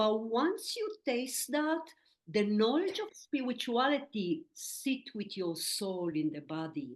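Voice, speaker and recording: A woman speaks very slowly in a high voice. Her pitch swings very widely. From Israel. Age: 60s. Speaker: medium and spiritual teacher. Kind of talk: interview.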